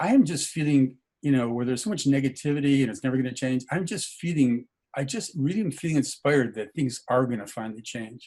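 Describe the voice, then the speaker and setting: A man talks at a very fast pace with a medium pitch and a dark, mellow tone. His pitch varies in an ordinary way. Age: 70s. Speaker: meditation session participant. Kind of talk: casual sharing in group call. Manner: halting, many fillers.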